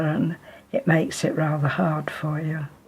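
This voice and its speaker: A woman speaks in a very deep, low pitch with monotone, flat intonation. Noticeable background noise is present. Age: 90s. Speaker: elderly charity guest. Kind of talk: interview testimony.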